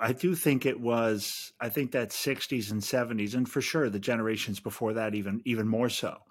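A plain, everyday voice comes through with an American accent and ordinary pitch variation. The recording is very clean, with a silent background. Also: man. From US Midwest. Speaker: podcaster and writer. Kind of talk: casual chat.

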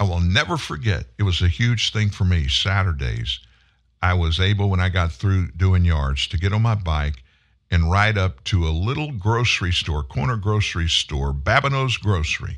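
A man's very deep, low voice in a Southern US accent, animated in tone, at a moderate pace with very even loudness. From US South. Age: 70s. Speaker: talk show host. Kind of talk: political talk monologue. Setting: studio.

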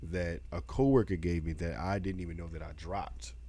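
A dark, mellow voice moves at a moderate pace with audible room echo. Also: man. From Baltimore. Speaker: podcast co-host. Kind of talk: casual chat.

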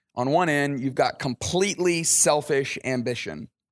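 In a Southern US accent, a man talks at a fairly high pitch with ordinary pitch variation. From Alabama, US South. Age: 40s. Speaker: pastor. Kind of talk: interview. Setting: at a camp, outdoors by a pool.

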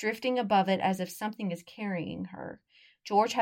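The speech is plain reading aloud. The background is quiet.

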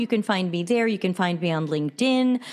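Speaking at a fairly quick pace, a woman talks with an American accent. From US East Coast. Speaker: customer experience consultant. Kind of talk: interview.

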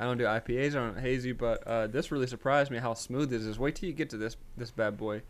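A man talks at a very fast pace in an animated tone. He has a Southern US accent and a medium pitch. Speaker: podcast co-host. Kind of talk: casual banter, happy hour podcast. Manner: animated, slangy.

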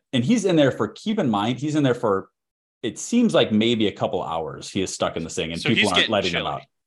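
A man with a Chicago accent at medium pitch, very fast pace and very wide pitch swings, on a very clean recording with a silent background. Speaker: podcast co-host. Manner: casual, ranting.

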